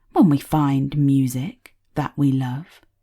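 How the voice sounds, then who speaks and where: A female-sounding voice speaks in a put-on character voice. Its pitch is low-to-middle and the pace is fairly slow. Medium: read story. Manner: soft, gentle.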